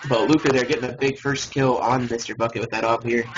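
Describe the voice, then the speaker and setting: The speech comes at a very fast pace in a monotone, flat intonation, with noticeable background noise. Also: man. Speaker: esports match commentator (shoutcaster). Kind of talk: live esports game commentary.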